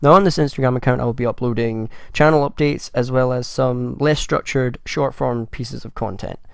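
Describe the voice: Gruff and full of vocal fry, a man speaks at medium pitch.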